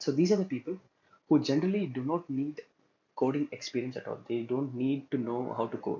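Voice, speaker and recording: Speech comes out at a fairly quick clip. There is a somewhat breathy quality to it. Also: man, fairly high pitch for a man, ordinary pitch variation. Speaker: student instructor teaching web development. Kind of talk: tutorial. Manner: frequent filler hesitations.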